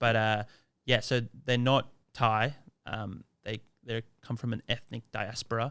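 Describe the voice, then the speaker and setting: On a very clean recording with a silent background, a man of medium pitch speaks in a monotone, flat way at a fairly slow pace, with long, frequent pauses. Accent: Australian. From Australia, Sydney. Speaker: Thai language content creator. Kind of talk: podcast interview. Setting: studio.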